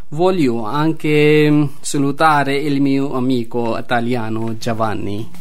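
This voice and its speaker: With noticeable background noise behind him, a man talks at a very slow pace with hardly any pauses, his fairly high pitch showing ordinary variation. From Pakistan. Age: 20s. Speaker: asylum seeker. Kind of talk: radio interview. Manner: halting.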